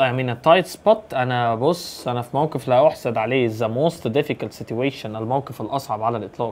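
A man with an Egyptian accent at medium pitch, talking at a fairly quick pace with hardly any pauses. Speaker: English teacher. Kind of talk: exam review tutorial. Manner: fast. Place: home room.

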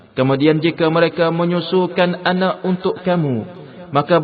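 The man keeps a moderate pace while noticeable background noise runs underneath. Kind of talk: scripted translation reading of scripture. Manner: formal, measured, steady.

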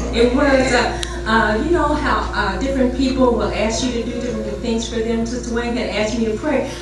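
A woman speaks at a high pitch and a moderate pace. Strong room echo and noticeable background noise are present. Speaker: church member reading a poem. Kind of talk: casual introduction to the poem, addressing the congregation. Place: church.

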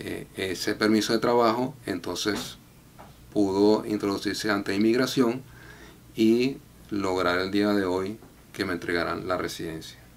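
A man talks at a fairly slow pace with long, frequent pauses. His pitch is fairly low, with ordinary variation. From Venezuela, Valencia; Venezuela. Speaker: immigration client. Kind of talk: testimony. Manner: halting, frequent filler 'eh'. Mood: calm, grateful.

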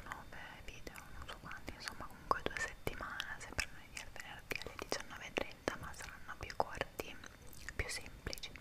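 A woman whispers over noticeable background noise. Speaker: ASMR creator. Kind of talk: casual ASMR chat to camera. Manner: whispered.

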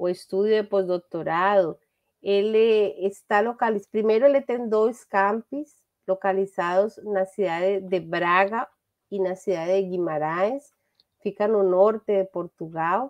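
A woman with a Spanish accent, medium pitch, ordinary pitch variation and a fairly slow pace against a quiet background. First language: Spanish (speaking Portuguese). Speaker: business administration professor. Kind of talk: academic presentation. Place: home room. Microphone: webcam.

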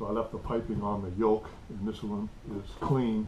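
Speech at a moderate pace with ordinary pitch variation comes through noticeable background noise. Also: man. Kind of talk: tutorial. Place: workshop. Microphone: camera far.

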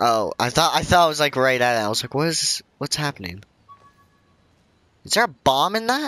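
A man talks quietly at a fairly quick pace, with a fairly high pitch and very wide pitch swings. He leaves long, frequent pauses, and the sound is dry and close with no echo. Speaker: gaming YouTuber. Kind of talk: let's play commentary.

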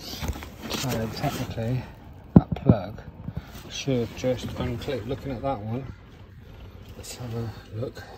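A man talks with ordinary pitch variation as noticeable background noise continues. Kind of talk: casual vlog tutorial. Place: workshop. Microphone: phone near.

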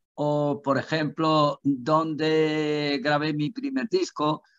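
Against a quiet background, a man speaks at a fairly high pitch. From Andalusia. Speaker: singer; interviewee. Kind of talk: interview. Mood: cheerful, animated. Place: home room. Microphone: video call.

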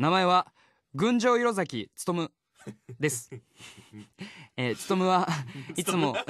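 A man speaks at a high pitch with very wide pitch swings and big jumps in loudness. He goes at a fairly slow pace with long, frequent pauses, in a dry sound with no echo against a quiet background. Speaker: voice actor, radio personality. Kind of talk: reading a listener's letter aloud on radio. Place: studio.

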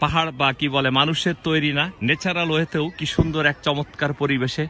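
There is noticeable background noise. A man with a fairly high pitch talks with fairly even intonation. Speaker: vlogger. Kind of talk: walking vlog narration. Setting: outdoors. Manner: halting.

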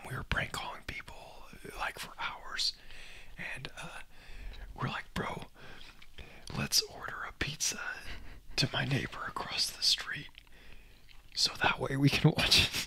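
This voice is whispering. Long, frequent pauses break up the speech. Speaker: lifelong friend of the host. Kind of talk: casual storytelling about personal experiences. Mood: amused, animated. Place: home room. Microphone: studio mic.

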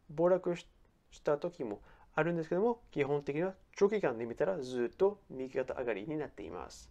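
A man's fairly high voice has a dark, mellow tone and very wide pitch swings. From France. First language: French (speaking Japanese). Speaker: personal finance YouTuber. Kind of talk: explainer video.

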